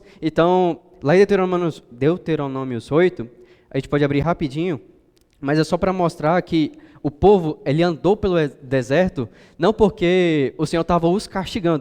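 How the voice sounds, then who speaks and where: At a moderate pace, a man speaks with a dark, mellow tone, a high pitch and ordinary pitch variation. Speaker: preacher. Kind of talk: sermon.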